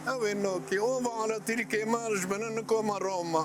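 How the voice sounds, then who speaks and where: Someone speaks at a very slow pace. Music plays in the background. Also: man. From Gaziantep, Turkey. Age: 70s. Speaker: elderly slipper street vendor. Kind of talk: interview testimony.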